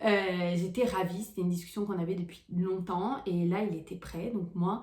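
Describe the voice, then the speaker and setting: There is noticeable background noise and audible room echo as a woman speaks. Her medium pitch holds fairly even intonation. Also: moderate pace. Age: 20s. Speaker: vlogger. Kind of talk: personal vlog storytelling. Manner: hesitant, many fillers.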